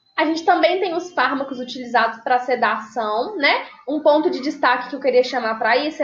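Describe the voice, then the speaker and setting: Her pitch is high, and this woman shows ordinary pitch variation. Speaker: nursing teacher. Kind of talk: lecture.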